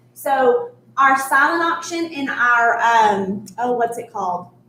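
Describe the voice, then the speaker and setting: There is audible room echo as a woman speaks at a very slow pace in a high pitch. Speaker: charity event host. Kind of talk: live-streamed charity event presentation. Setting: resort venue, live stream.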